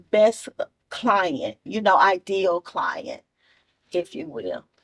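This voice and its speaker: A woman with a Memphis accent speaks very slowly at a medium pitch, with lively intonation and vocal fry. The sound is dry and close, with no echo. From Memphis, Tennessee. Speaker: TV and radio show host. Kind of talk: casual interview. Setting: studio set. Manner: animated.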